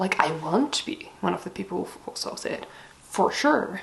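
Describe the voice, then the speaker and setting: A woman with a Dutch accent and very wide pitch swings. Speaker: book vlogger. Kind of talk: casual chat. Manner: casual, hesitant with many fillers.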